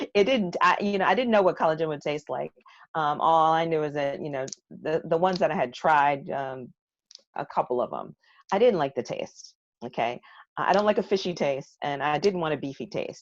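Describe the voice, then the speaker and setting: Over a quiet background, a woman with a very deep, low pitch talks at a fairly quick pace with lively intonation. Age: 60s. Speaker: guest product presenter. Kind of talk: product training presentation.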